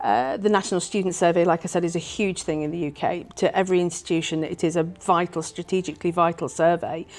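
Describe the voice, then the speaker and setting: The speaker has an English accent and fairly even intonation. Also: woman. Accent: very English. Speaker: university director of strategic planning. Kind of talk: interview. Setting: conference.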